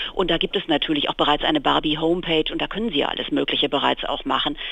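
This woman talks at a very fast pace in a very deep, low pitch. Her intonation stays fairly even. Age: 50s. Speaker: magazine editor. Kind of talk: interview. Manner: hesitant, many fillers.

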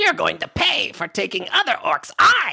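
The pace is moderate. It is a put-on character voice. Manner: silly, threatening.

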